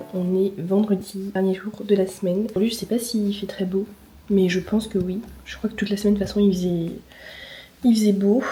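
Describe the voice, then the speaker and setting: A woman of medium pitch speaks fairly quickly with a monotone, flat intonation. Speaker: lifestyle vlogger. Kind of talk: casual vlog talk. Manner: hesitant, many filler sounds.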